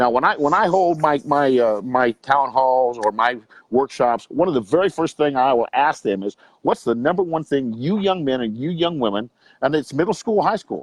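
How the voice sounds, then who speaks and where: A man with an American accent has a plain, everyday voice, fairly high in pitch, with lively intonation. The sound is dry and close, with no echo. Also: moderate pace. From US West Coast, Long Beach, California. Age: 60s. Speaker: youth coach and motivational speaker. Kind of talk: interview.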